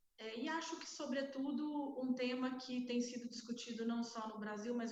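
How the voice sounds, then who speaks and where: A woman with a Minas Gerais accent speaks at a fairly high pitch. Her intonation is fairly even, and audible room echo surrounds her. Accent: Minas Gerais accent, unchanged. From Minas Gerais, Brazil. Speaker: healthcare executive, panelist. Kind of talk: panel debate self-introduction. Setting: online event.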